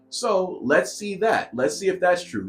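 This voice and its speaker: Over background music, a man speaks in an animated tone. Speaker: podcast host. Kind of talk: podcast monologue.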